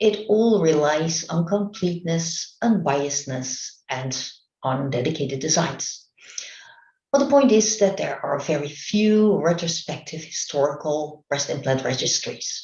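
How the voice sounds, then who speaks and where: A Dutch accent at a fairly slow pace. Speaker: medical researcher. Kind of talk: conference presentation. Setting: remote online talk. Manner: halting.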